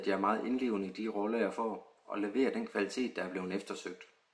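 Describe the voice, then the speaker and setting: A fairly low-pitched male voice at a very fast pace, with ordinary pitch variation. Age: 30s. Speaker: extra actor applicant. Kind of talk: self-introduction video.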